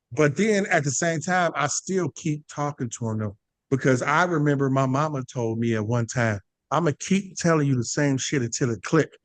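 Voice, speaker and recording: The man's fairly high voice moves at a moderate pace with lively intonation, the sound dry and close with no echo over a quiet background. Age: 40s. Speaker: podcast host. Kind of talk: casual chat.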